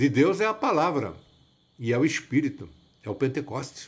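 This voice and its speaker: Over a silent background on a very clean recording, a man speaks in a somewhat breathy voice. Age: 70s. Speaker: evangelist. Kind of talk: sermon-like monologue. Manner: repetitive, halting.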